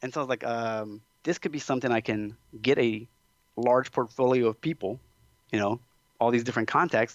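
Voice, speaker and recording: Talking at a very fast pace in a Louisiana accent, a man of medium pitch keeps fairly even intonation, with a dry, close sound with no echo and a quiet background. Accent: Southern US (Louisiana). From South Louisiana, USA. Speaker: chiropractor. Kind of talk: podcast interview answer. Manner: casual, chatty.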